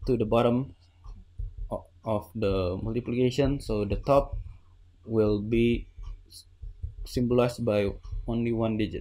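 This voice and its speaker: A man's dark, mellow voice, fairly slow and fairly even in intonation, with long, frequent pauses. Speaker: Minecraft redstone builder. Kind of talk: tutorial voice-over explaining a build. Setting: home recording with new microphone. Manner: hesitant, stuttering. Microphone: studio mic.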